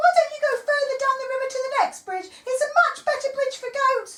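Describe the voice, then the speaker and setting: A put-on character voice, squeaky and extremely high in pitch, at a fairly quick pace. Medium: read story.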